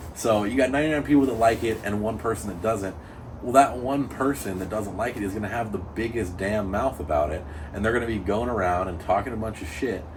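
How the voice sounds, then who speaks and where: A man's fairly low voice with ordinary pitch variation at a very fast pace, amid audible room echo and noticeable background noise. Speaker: amateur drift car driver. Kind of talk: casual chat. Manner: loud.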